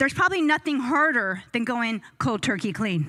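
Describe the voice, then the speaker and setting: A woman projects a raised voice with a bright, sharp tone and lively intonation. Her pace is moderate, and the recording is very clean with a silent background. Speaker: entrepreneur and skincare business owner. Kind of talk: motivational talk to a live audience.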